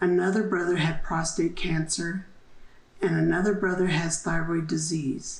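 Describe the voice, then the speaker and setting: An American accent comes through at a moderate pace with fairly even intonation. There is audible echo from the room. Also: woman. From New Mexico, US Southwest. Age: 70s. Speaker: downwinder testimony giver. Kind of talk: testimony. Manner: formal.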